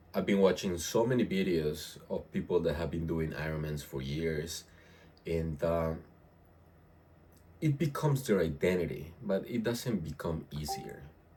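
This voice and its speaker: The tone is dark and mellow, somewhat breathy. Intonation is lively, at a moderate pace. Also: man, very deep, low pitch for a man. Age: 30s. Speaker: fitness vlogger. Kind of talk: casual vlog monologue. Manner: halting, many fillers and repetitions. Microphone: no external microphone, built-in audio.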